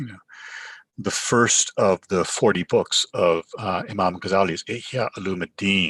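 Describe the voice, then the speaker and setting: A man's fairly low voice with a Canadian accent, fairly slow and fairly even in intonation, in a dry, close recording with no echo. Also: big swings in loudness. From Canada. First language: Urdu. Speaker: professor. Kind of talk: sermon. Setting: virtual online gathering. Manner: halting, frequent fillers.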